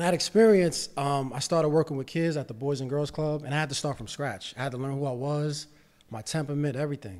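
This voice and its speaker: An American-accented man talks at a very fast pace with a fairly high pitch and ordinary pitch variation. He leaves long, frequent pauses against a quiet background. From New York City (Bronx). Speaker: real estate investor and financial literacy educator. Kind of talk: casual chat. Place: studio. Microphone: studio mic.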